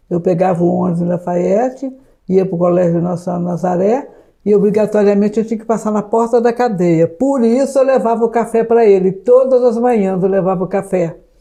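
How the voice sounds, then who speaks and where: A woman speaks at a fairly quick pace with a dark, mellow tone. Her medium pitch shows ordinary variation. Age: 70s. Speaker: spiritist witness. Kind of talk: interview testimony.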